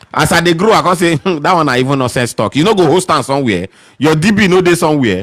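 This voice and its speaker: A man talks at a very fast pace in a fairly high pitch, with lively intonation and very even loudness. Vocal fry runs through his voice. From northern Nigeria, Sokoto. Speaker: tech podcast host. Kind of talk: live Q&A discussion. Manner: animated.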